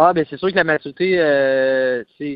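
A man with a fairly high pitch. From Quebec, Trois-Rivières (Mauricie). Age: 20s. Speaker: professional hockey player. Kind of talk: phone interview. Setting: phone call.

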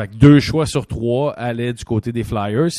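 Here a man talks at a fairly slow pace in a dark, mellow tone. The sound is dry and close with no echo, over a quiet background. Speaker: podcast host and former hockey player. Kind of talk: casual chat. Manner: animated.

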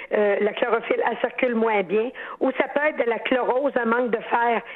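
A woman with a Quebec accent speaks in a high pitch. Her pace is moderate, and background noise is noticeable. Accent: Québécois French. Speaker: horticulturist. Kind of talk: call-in advice. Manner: animated.

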